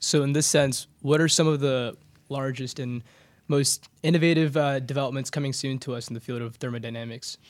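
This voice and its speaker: A man speaks in a normal speaking voice at a fairly high pitch. His intonation is fairly even and his pace fairly quick. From Maryland, US. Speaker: student podcast co-host. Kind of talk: interview.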